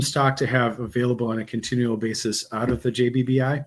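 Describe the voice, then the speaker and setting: A man's medium-pitched, somewhat breathy voice with a Wisconsin accent at a fairly quick pace. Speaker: bourbon course instructor. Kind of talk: interview.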